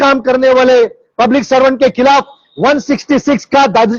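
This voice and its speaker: A man is talking. The pitch of his voice sits extremely high. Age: 60s. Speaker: social activist. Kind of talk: public awareness talk. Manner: animated.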